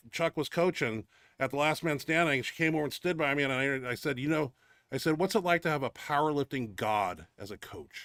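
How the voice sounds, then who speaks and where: An animated man's voice, fairly high in pitch, at a moderate pace with ordinary pitch variation, in a dry, close sound with no echo on a very clean recording against a silent background. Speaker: powerlifter and show host. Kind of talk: casual chat. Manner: loud.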